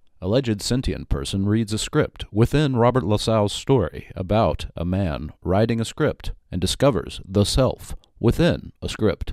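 Over a very clean recording with a silent background, a man with vocal fry speaks fairly slowly in a solemn tone. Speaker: poet and podcaster. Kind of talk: scripted absurdist poetry and prose performance. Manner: dry irreverent delivery, comic and rhythmic, mock-solemn.

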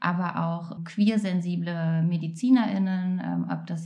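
With a dark, mellow, somewhat breathy tone, a woman talks in a fairly low voice and fairly even intonation. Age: 30s. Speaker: counsellor. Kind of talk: interview.

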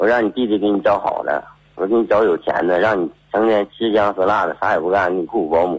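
The man talks at a very fast pace. His fairly low pitch shows ordinary pitch variation. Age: 30s. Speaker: caller, car driver. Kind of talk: telling his story on air. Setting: phone call.

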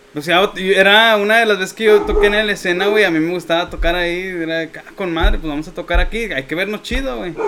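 Over noticeable background noise, a man with a Mexican accent speaks at a high pitch and a fairly quick pace. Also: ordinary pitch variation. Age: 20s. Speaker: musician. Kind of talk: casual chat.

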